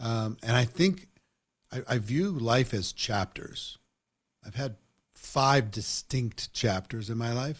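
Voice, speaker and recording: On a very clean recording with a silent background, a somewhat breathy man at medium pitch speaks at a very slow pace with long, frequent pauses. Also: ordinary pitch variation. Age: 60s. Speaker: network marketing trainer and interviewer. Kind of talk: interview conversation.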